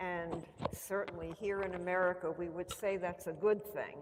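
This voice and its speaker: A woman's medium-pitched voice at a fairly slow pace, with fairly even intonation, audible room echo and noticeable background noise. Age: 70s. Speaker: author and organization founder. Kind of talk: book talk Q&A. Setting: church event with audience.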